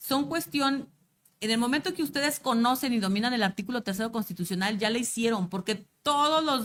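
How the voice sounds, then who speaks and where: In a very clean recording with a silent background, a woman's fairly high voice carries lively intonation. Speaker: teacher trainer. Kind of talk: lecture. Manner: fast.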